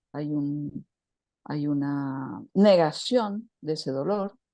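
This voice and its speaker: Against a quiet background, a woman speaks with a very deep, low pitch, a dark, mellow tone and lively intonation. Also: long, frequent pauses. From Argentina, Buenos Aires. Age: 60s. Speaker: women's circle leader and writer. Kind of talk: spiritual talk to a women's circle. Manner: passionate, with self-corrections.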